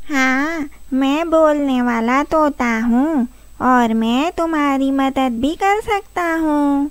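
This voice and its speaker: Using a cartoonish character voice pitched high, a woman speaks at a very slow pace. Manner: friendly, helpful.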